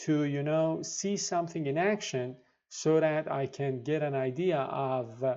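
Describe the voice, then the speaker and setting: A man with a dark, mellow tone and fairly high pitch, in a non-native accent, at a fairly slow pace, against a quiet background. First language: not English. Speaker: programming tutorial youtuber. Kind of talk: tutorial. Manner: halting, many fillers.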